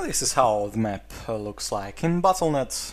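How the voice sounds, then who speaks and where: Pitch swings very widely in this moderate-paced delivery with a Russian accent. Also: man. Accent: Russian accent, non-native English. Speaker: esports caster. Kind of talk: video game map review. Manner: hesitant, many filler sounds.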